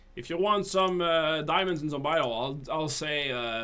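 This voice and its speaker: A man with a French accent speaks at a moderate pace and a fairly high pitch. His intonation is lively, and audible room echo surrounds his voice. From northern Quebec. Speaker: game developer and streamer. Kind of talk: live stream chat. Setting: live stream. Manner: casual with many fillers and restarts.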